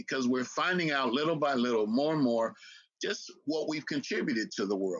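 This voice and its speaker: Talking at a fairly quick pace, a man with an American accent has a fairly high pitch. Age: 60s. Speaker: historian and lecturer. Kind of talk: interview.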